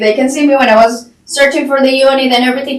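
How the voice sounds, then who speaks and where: A woman speaks with a Colombian accent over noticeable background noise, with audible echo in the room. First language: Spanish. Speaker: real estate agent. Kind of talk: podcast interview.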